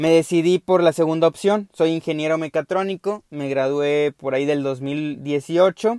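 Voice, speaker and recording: A man talks at a fairly high pitch, barely pausing, with ordinary pitch variation. The sound is dry and close, with no echo. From Mexico, Veracruz. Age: 20s. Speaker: podcast host, mechatronics engineer. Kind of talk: casual monologue. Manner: halting, with many fillers and repetitions.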